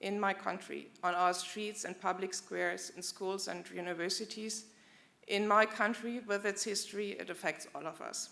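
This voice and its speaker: A woman speaks at a medium pitch with fairly even intonation. Her tone is bright and sharp, with vocal fry. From Germany. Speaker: German diplomat. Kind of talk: formal commemorative speech. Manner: formal.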